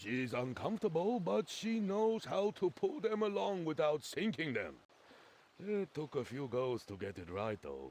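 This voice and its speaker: A man puts on a character voice, fairly high in pitch. He swings his pitch very widely at a moderate pace. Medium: video game. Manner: boisterous, laughing.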